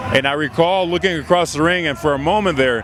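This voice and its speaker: A man rattles off words very rapidly, his pitch rising and falling in a normal way, with clear background noise behind him. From Mexican-American. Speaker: ring announcer; former radio disc jockey. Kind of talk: casual interview answer.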